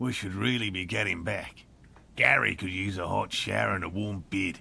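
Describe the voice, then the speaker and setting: A put-on character voice from a man, raspy and very deep, at a moderate pace over clear background noise. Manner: exaggerated, deliberately bad accent.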